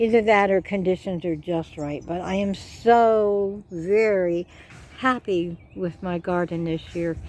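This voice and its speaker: With an ordinary speaking voice, a woman of medium pitch talks at a fairly slow pace and with fairly even intonation. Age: 60s. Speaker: gardening vlogger. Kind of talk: casual garden tour vlog. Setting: outdoors in garden.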